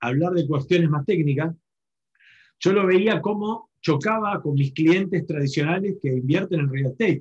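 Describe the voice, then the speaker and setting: In a Rioplatense accent, a man with a high-pitched voice speaks at a moderate pace with ordinary pitch variation. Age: 40s. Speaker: real estate entrepreneur. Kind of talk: webinar panel talk.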